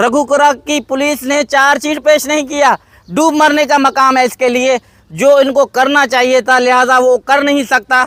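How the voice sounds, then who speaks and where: Speaking fairly slowly with fairly even intonation, a man with an extremely high pitch has a bright, sharp tone in a dry, close sound with no echo. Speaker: vlogger, father appealing for his children. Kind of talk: emotional video appeal. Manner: impassioned.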